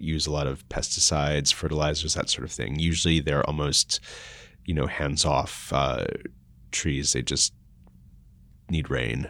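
Speaking with an American accent, a man has a very deep, low pitch and vocal fry. He keeps a moderate pace. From mixed, US and Austria. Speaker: food startup co-founder. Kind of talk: interview. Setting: in person, location change late in interview.

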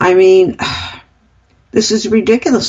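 Somewhat breathy and animated, a woman speaks at a medium pitch. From United States. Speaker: radio talk show co-host. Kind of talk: political commentary chat.

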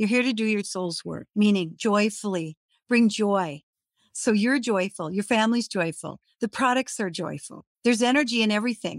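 Here is a woman with an ordinary speaking voice at a medium pitch and a moderate pace. Her pitch varies in an ordinary way, and the sound is dry and close with no echo. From Minnesota. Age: 60s. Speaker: LinkedIn coach. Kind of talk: online workshop presentation. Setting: live online session.

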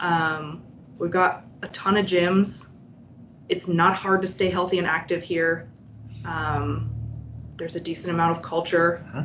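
Her intonation is fairly even. The woman keeps a moderate pace. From Vermont, near Canadian border. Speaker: home care and hospice worker. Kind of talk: casual interview.

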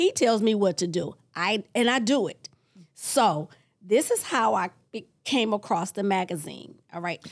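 An unremarkable speaking voice with lively intonation, at a fairly slow pace. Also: woman, medium pitch for a woman. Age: 60s. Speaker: self-published author and magazine creator. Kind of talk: interview.

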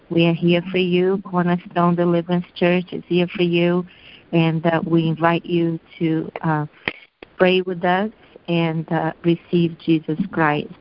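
Over noticeable background noise, a woman speaks at a fairly low pitch and a fairly slow pace. Her intonation is monotone and flat. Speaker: altar call leader. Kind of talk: invitation to salvation.

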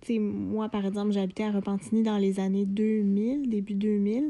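Against a quiet background, a woman with a fairly high pitch and a dark, mellow tone speaks at a fairly slow pace. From Quebec, Lanaudière region. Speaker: podcast co-host. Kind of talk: casual chat. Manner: halting.

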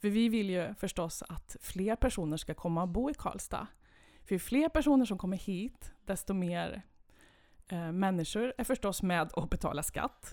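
Speaking in a normal speaking voice at a medium pitch, a woman talks at a fairly slow pace with lively intonation, in a very clean recording with a silent background. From Sweden, Värmland (Kil). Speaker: municipal head of culture. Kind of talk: interview.

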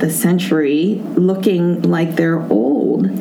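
A very slow pace, with audible room echo and noticeable background noise. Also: woman. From Hawaii. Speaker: entrepreneur. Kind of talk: interview.

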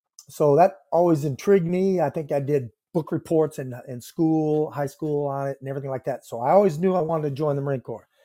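Against a very clean, silent background, a man with an American accent talks very fast with hardly any pauses in a dark, mellow, fairly high-pitched voice, with ordinary pitch variation and a dry, close sound with no echo. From US Midwest, northeast Iowa. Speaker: retired Marine sergeant major. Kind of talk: interview, life story. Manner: halting, frequent fillers.

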